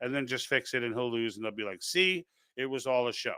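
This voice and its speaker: On a very clean recording with a silent background, a man with a Brooklyn accent speaks in a bright, sharp tone with ordinary pitch variation, the sound dry and close with no echo. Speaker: political livestream host. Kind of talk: live stream commentary reading chat comments. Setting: live stream. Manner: halting, many false starts.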